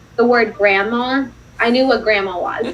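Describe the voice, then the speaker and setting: With noticeable background noise behind her, a woman speaks at a fairly high pitch with ordinary pitch variation. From Russia. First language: Russian. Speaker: non-profit founder. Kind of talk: interview on a live stream. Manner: casual, lots of filler words.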